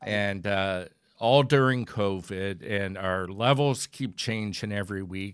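This man has a plain, everyday voice. His pitch variation is ordinary. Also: very clean recording, silent background. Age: 40s. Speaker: animation creator and podcast co-host. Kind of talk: casual chat.

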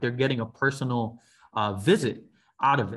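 A man with an American accent talks at a fairly quick pace in an unremarkable speaking voice, medium in pitch with ordinary pitch variation. The background is quiet. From New York City, the Bronx. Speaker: college admissions counselor. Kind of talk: interview.

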